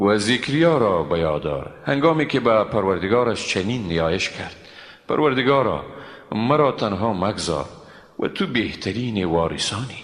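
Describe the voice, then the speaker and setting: Soft-spoken and fairly low-pitched, a man talks at a moderate pace with very wide pitch swings. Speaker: Quran translator. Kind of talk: scripture translation reading. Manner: calm, soft.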